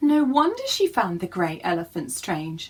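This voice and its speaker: Using a put-on character voice, a woman speaks at a fairly high pitch and moderate pace, her pitch swinging very widely. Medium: read story.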